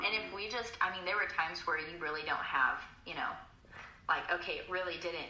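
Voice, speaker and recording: A woman speaks very fast at a medium pitch with ordinary pitch variation. Background noise is noticeable. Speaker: guest. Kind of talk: casual chat.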